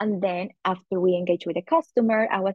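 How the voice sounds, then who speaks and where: Woman's medium-pitched voice with a Spanish accent at a moderate pace. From Colombia, Medellin. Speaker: customer marketing manager. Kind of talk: casual interview.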